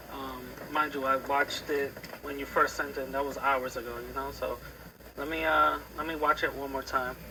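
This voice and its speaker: With noticeable noise behind him, a man talks fairly fast. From United States, of Dominican parents. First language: Spanish. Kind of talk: heated debate.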